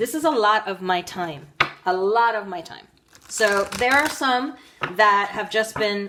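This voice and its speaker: A woman with an American accent speaks fairly slowly at medium pitch, with ordinary pitch variation. Her loudness swings widely over noticeable background noise. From United States. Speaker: tarot reader. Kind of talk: monologue to viewers, tarot reading. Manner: firm, scolding.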